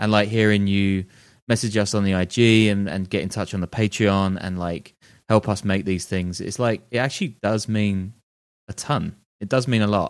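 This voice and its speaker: A man speaks with a British accent at a moderate pace and a fairly low pitch. His intonation stays fairly even in a very clean recording with a silent background. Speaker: podcast co-host and journalist. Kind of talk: casual chat.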